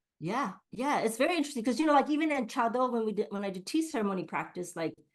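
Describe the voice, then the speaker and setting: This woman has an American accent and a fairly high pitch that swings very widely. Her tone is animated and her pace very fast. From US, Japanese American community. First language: Japanese. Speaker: Reiki teacher. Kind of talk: interview. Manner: animated, many fillers.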